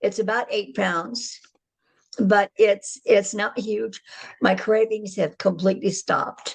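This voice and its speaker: A woman's somewhat breathy voice at medium pitch moves at a very slow pace with fairly even intonation. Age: 80s+. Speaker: customer giving a product testimonial. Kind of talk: testimony.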